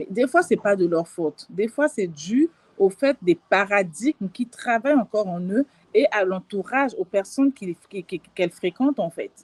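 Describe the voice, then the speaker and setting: The voice moves at a moderate pace with lively intonation. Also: woman, medium pitch for a woman, dry, close sound with no echo. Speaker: life and business coach. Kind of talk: live stream talk. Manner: hesitant, many fillers.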